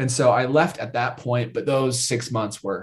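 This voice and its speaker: A man with an American accent speaks in a medium pitch, somewhat breathy. His intonation stays monotone and flat. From Idaho, US. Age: 20s. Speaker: YouTube content creator. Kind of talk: casual chat.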